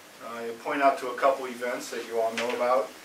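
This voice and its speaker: A man with an American accent, medium-pitched and monotone, at a fairly quick pace, amid noticeable background noise and audible room echo. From United States. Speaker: financial advisor. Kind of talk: conference opening speech.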